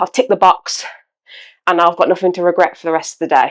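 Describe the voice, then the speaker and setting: Here a woman talks in a British accent. Her pitch is medium and her pace fairly quick. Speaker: fitness content creator. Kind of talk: casual vlog talk.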